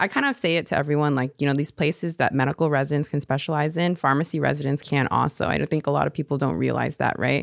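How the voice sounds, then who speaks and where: A woman's very deep, low voice in an American accent, very fast with hardly any pauses, monotone and flat, very even in loudness, with vocal fry and a dry, close sound with no echo. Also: very clean recording, silent background. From Seattle, US Pacific Northwest. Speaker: pharmacy resident. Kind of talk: casual interview.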